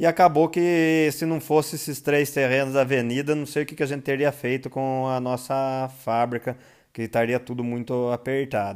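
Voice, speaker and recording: A man talks at a moderate pace with fairly even intonation and a medium pitch. He has a normal speaking voice. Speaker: brewery founder and podcast host. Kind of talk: casual monologue.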